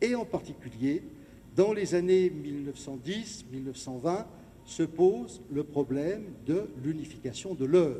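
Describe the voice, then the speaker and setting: A man speaks very slowly with a dark, mellow tone. His pitch is fairly high and his intonation lively. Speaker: lecturer and local historian. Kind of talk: lecture. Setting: gymnasium with audience.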